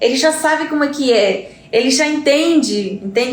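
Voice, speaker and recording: A woman with a Spanish accent speaks at a high pitch with ordinary pitch variation. Audible room echo and noticeable background noise surround her. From Uruguay. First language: Spanish (speaking Portuguese). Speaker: Spanish teacher. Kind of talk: live stream talk. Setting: live stream.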